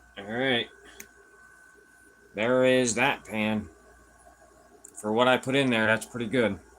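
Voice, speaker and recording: Over noticeable background noise, a man of medium pitch speaks at a fairly slow pace with fairly even intonation and long, frequent pauses. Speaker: gold prospecting livestreamer. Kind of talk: live stream panning gold while chatting. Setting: live stream. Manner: loud.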